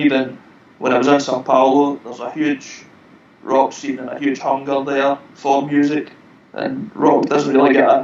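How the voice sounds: Noticeable background noise sits behind a man with a fairly high-pitched voice. He talks at a moderate pace, with big swings in loudness.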